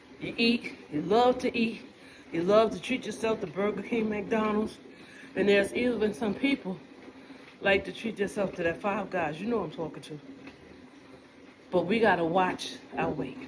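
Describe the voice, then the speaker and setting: Over noticeable background noise, a woman speaks in an animated tone at a medium pitch and moderate pace, with ordinary pitch variation and long, frequent pauses. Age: 60s. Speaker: vlogger. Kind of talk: casual monologue.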